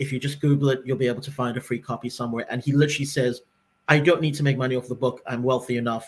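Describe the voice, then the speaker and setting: At a very fast pace, a man speaks in a somewhat breathy voice with medium pitch and monotone, flat intonation. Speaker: podcast co-host. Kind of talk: casual chat.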